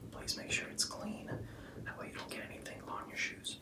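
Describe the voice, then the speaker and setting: Here a man is whispering. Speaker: men's style YouTuber; presenter. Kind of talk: ASMR tutorial. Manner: casual. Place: home room.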